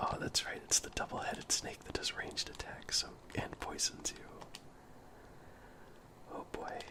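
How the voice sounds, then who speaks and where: A whispering man at a moderate pace, with long, frequent pauses, big swings in loudness and noticeable background noise. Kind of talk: ASMR gameplay commentary. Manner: whispered, soft-spoken.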